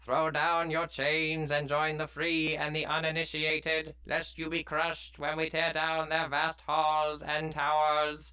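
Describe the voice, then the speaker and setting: A man puts on a character voice at a fairly high pitch. He talks at a moderate pace. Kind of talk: villain speech. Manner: menacing, proclamatory.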